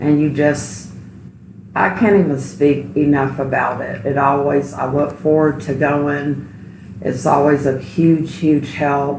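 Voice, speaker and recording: A woman speaks very slowly in a very deep, low voice with ordinary pitch variation. Noticeable background noise and audible room echo fill the recording. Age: 60s. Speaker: registered nurse, support group member. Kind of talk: interview testimony.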